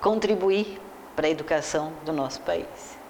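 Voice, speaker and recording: Noticeable background noise and audible room echo around a woman's speech. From Brazil, Porto Alegre (Rio Grande do Sul). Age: 70s. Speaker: educator and teacher. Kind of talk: interview.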